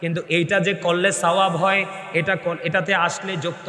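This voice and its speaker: In a room with audible echo and noticeable background noise, a man uses a raised, projected voice with an animated tone. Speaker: Islamic preacher. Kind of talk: sermon. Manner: animated, urging crowd to respond loudly.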